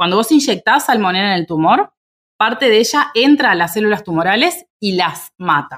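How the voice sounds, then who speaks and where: Her voice swings very widely in pitch. This woman speaks at a fairly high pitch. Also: moderate pace. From Uruguay, Minas (Lavalleja). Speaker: immunology researcher. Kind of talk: casual interview conversation.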